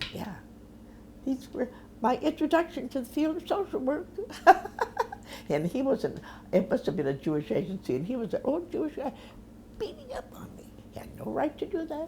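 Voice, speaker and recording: A woman's high voice in a Midwestern American accent, dark and mellow in tone, at a fairly quick pace with long, frequent pauses, very wide pitch swings and big swings in loudness. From Omaha, Nebraska. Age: 80s+. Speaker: social worker. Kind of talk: interview answer.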